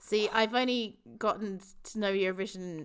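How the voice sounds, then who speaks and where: A woman speaks with an English accent. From England. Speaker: podcast host. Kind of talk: casual chat.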